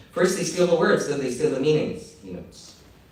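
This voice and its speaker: Noticeable background noise runs through the clip. Audible room echo is present as well. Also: man. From Egypt. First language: Arabic. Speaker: visiting lecturer, professor. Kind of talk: lecture.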